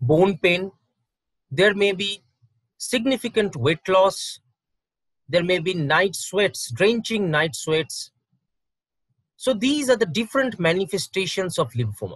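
At a fairly slow pace with long, frequent pauses, a man speaks in a dry sound with no echo against a quiet background. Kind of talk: medical awareness talk. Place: home room. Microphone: webcam.

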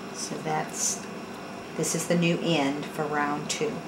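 Clear background noise sits behind a woman's low voice. She speaks slowly, with little movement in pitch.

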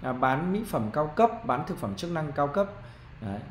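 The pace is fairly quick. Light background noise and audible room echo are present. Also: man. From Vietnam. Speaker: marketing trainer; business marketing trainer. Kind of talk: online business tutorial. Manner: conversational, frequent fillers. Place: home room. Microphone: webcam.

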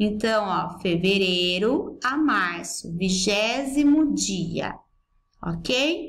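Her pitch swings very widely as a woman speaks at a very slow pace. The voice is somewhat breathy. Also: medium pitch for a woman. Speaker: school English teacher. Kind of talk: recorded lesson for pupils. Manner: didactic, explanatory.

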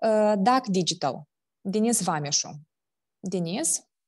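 With a quiet background, this woman's pitch shows ordinary variation. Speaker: foundation executive director, session moderator; session moderator. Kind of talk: moderating Q&A, semi-formal. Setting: video call. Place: office. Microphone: earbuds.

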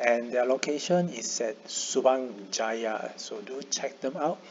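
A man with a fairly high voice and lively intonation talks while noticeable background noise plays behind him. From Malaysia. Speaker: YouTuber. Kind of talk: tutorial.

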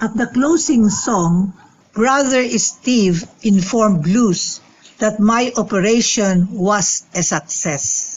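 Speaking slowly, a woman keeps to a medium pitch with ordinary pitch variation.

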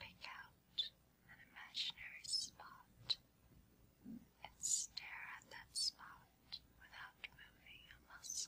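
A woman whispers in a soothing tone at a very slow pace. Her loudness rises and falls widely. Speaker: hypnotist. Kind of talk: hypnosis induction for sleep. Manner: whispered, slow, soothing. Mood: calm, soothing. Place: studio.

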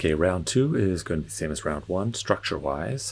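A man speaks with vocal fry. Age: 40s. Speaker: fitness instructor. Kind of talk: guided home workout. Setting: home workout video. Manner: calm, encouraging, steady; clear cue-giving, countdowns. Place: hall.

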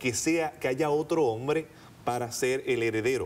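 A man with a fairly high pitch delivers his words at a fairly slow pace. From Puerto Rico, rural countryside. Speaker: archaeologist and seminary professor; guest. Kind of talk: interview. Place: studio. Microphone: lapel.

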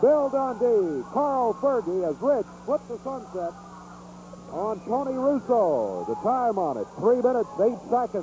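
A man speaks at a fairly slow pace with a high pitch and lively intonation, the sound dry with no echo but with noticeable background noise. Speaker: wrestling commentator. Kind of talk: 1980s wrestling commentary, live play-by-play. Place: hall. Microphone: old recording.

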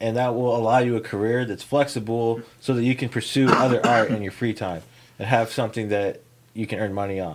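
Loud background noise fills the recording. Over it, a man speaks at a fairly quick pace. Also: medium pitch for a man. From Kansas. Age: 30s. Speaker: podcast host. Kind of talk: casual chat. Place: studio. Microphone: studio mic.

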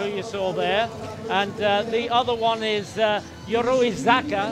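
With clear music behind him, a man is talking. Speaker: race commentator. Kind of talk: commentary.

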